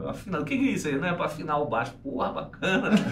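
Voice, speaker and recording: A man talking at a very fast pace, with audible room echo and noticeable background noise. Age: 40s. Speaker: bass player. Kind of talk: casual interview chat.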